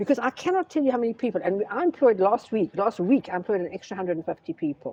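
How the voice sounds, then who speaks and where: A woman talks at a very fast pace with hardly any pauses, a fairly high pitch, very wide pitch swings and an animated tone. The sound is dry and close with no echo, and there is noticeable background noise. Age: 70s. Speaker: businesswoman. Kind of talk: interview. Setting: retail store. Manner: animated storytelling.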